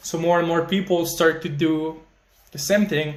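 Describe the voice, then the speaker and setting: A man speaks at a high pitch and a fairly slow pace. His intonation stays monotone and flat. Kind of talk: casual talk to camera. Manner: frequent filler words.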